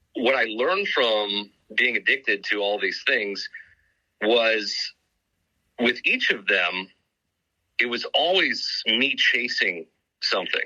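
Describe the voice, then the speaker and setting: A man's delivery is very slow, broken up by long, frequent pauses. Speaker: sobriety coach, former radio personality. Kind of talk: podcast interview. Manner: loud, projecting.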